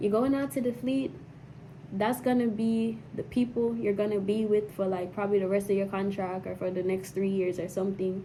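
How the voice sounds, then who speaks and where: A woman talks at a medium pitch while noticeable background noise carries on. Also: ordinary pitch variation, moderate pace. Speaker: Navy sailor vlogger. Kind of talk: casual advice vlog. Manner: repetitive, halting.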